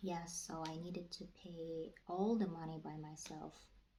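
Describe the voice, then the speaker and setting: A woman with a non-native accent speaks at a fairly slow pace in a fairly low, somewhat breathy voice with a dark, mellow tone. Her intonation is monotone and flat, and there is audible room echo. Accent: non-native English speaker. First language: not English. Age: 20s. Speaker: vlogger. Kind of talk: casual vlog talk. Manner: halting, with many fillers.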